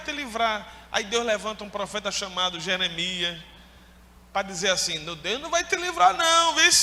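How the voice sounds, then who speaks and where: A man's raised, projected voice with very wide pitch swings, amid noticeable background noise. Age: 30s. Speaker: pastor. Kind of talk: sermon. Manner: animated.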